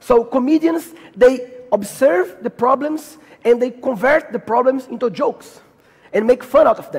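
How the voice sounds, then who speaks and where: The speaker has a Brazilian Portuguese accent and lively intonation. Noticeable noise sits in the background. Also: man. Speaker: comedian and speaker. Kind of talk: conference talk. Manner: halting.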